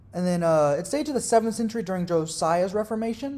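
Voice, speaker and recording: The delivery runs at a very fast pace. It is spoken in a Southern US accent. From US South. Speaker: religious video creator. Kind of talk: educational monologue. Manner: casual, with fillers and self-corrections.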